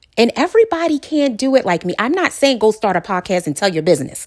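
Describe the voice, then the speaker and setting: A woman speaks in an animated tone. The sound is dry and close, with no echo. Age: 40s. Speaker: podcast host. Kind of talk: casual monologue.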